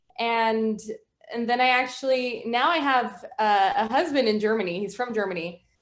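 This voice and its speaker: Room echo is audible as a woman speaks at a fairly high pitch. She keeps a moderate pace. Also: ordinary pitch variation. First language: Spanish. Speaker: guest. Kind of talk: casual chat.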